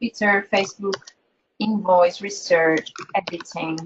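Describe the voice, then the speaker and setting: A woman speaks with a non-native accent. Her pace is fairly slow, with ordinary pitch variation. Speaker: webinar moderator. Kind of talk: webinar presentation. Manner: halting, repeats words.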